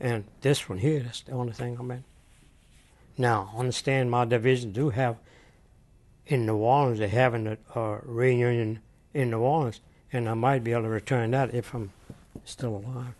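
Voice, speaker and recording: A man speaks at a medium pitch with a Southern Louisiana accent. He leaves long, frequent pauses against a quiet background. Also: fairly even intonation, moderate pace. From US South (Louisiana). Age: 80s+. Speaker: war veteran. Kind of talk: oral history interview. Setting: hotel in Houston, Texas. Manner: halting.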